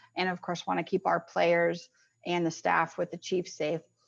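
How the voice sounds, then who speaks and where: There's a woman talking against a quiet background. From Kansas City, Missouri, US Midwest. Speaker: sports commission executive. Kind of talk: presentation and Q&A. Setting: video call. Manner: fast.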